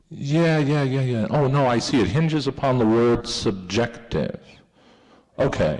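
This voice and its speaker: Audible room echo surrounds a voice at a fairly slow pace, with very even loudness and ordinary pitch variation. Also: man, medium pitch for a man. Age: 30s. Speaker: filmmaker. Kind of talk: audience Q&A. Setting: museum talk with audience. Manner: halting, many repetitions.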